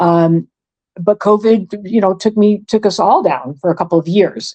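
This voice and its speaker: A woman speaks with an American accent and an unremarkable speaking voice. Her pace is fairly quick, with ordinary pitch variation. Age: 60s. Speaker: retired chef and volunteer. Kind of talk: interview.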